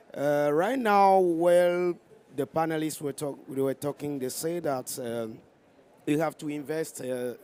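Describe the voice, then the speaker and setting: A fairly slow delivery in a West African French accent. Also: man, fairly high pitch for a man, ordinary pitch variation. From Togo. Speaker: NGO director, audience questioner. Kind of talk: audience question at panel. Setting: conference side event. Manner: halting, many fillers and restarts.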